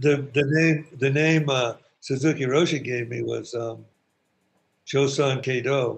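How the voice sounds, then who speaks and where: The delivery is fairly slow and somewhat breathy. Its intonation stays monotone and flat. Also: man, fairly high pitch for a man. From San Francisco. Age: 70s. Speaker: Buddhist priest. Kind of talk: casual chat.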